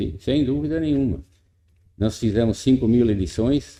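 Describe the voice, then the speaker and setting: A man's dark, mellow tone, with lively intonation at a fairly slow pace. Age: 80s+. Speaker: farmer, no-till farming pioneer. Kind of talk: interview. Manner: halting.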